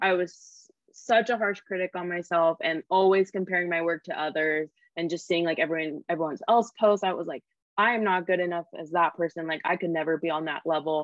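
The speaker has a Californian accent. The intonation is fairly even. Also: woman. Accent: Californian American. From Sacramento, California. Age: 20s. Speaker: filmmaker and photographer. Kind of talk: casual chat.

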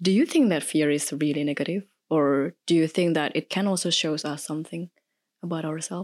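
The speech moves at a fairly quick pace with an Indonesian accent and fairly even intonation. The recording is very clean and dry, close with no echo, over a silent background. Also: woman, very deep, low pitch for a woman. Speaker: podcast guest. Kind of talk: casual chat.

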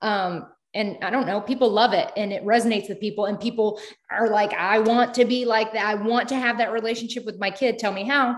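A woman with an ordinary speaking voice, fairly high pitch, fairly even intonation and a fairly quick pace. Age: 30s. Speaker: social media creator. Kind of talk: casual chat.

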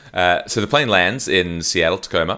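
A man speaks in a bright, sharp tone. His pace is moderate. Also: very clean recording, silent background. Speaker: podcast co-host. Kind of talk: casual comedic chat. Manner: jokey, laughs often.

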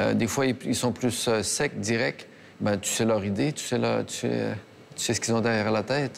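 Vocal fry marks this man's voice. He talks at a fairly slow pace. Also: medium pitch for a man, ordinary pitch variation. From Quebec. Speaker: chocolatier. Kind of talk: casual interview.

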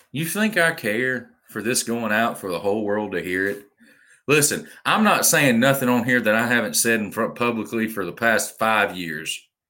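On a very clean recording with a silent background, the speaker uses a bright, sharp, animated tone in a Southern US accent, at a moderate pace with ordinary pitch variation. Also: man, medium pitch for a man. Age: 20s. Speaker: podcast host. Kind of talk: rant monologue.

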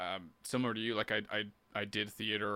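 A man speaks at a moderate pace in a bright, sharp tone with vocal fry. The recording is very clean, with a silent background. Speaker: podcast host and musician. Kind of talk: casual interview chat. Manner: casual, filler-heavy.

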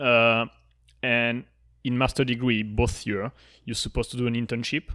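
A man with a French accent talks at a fairly quick pace and a medium pitch, his intonation monotone and flat. The tone is bright and sharp on a very clean recording with a silent background. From southern France. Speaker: podcast co-host appearing as guest. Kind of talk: casual interview chat. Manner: frequent hesitations and laughs.

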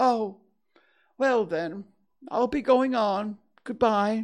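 A put-on character voice, fairly high in pitch and very slow in pace, over a quiet background. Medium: read story. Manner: gentle, simple, unhurried.

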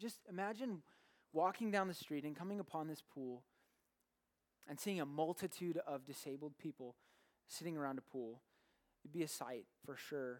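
A man speaks at a moderate pace with a fairly high pitch. His intonation is lively, broken by long, frequent pauses. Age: 20s. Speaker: pastor. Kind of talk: sermon. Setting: church. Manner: halting.

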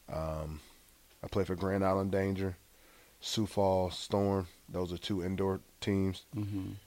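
A man with a Southern US accent, a very deep, low pitch and monotone, flat intonation, at a fairly slow pace with long, frequent pauses. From US South, Gulfport, Mississippi. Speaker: former college football quarterback. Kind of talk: interview.

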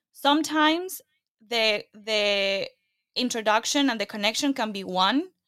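A woman's fairly high, bright and sharp voice in a Latin American accent, with lively intonation and a fairly slow pace. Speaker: podcaster and entrepreneur. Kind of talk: interview conversation.

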